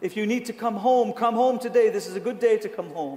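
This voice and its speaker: Over noticeable background noise, a man speaks with a British accent. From Britain. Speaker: pastor. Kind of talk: sermon; prayer. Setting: church. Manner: animated.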